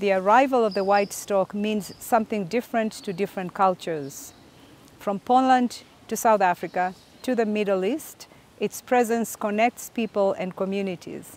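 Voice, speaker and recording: A woman speaks at a moderate pace with ordinary pitch variation, the sound dry with no echo. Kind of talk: formal welcome address. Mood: calm, warm, formal. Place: garden. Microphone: lapel.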